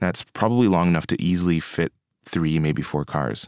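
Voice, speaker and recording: A man with a Canadian accent speaks at a fairly quick pace in a very deep, low pitch. The sound is dry and close with no echo, and his pitch varies an ordinary amount. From Kingston, Ontario, Canada. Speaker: podcast host and architecture student. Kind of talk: narration; on-location commentary while driving.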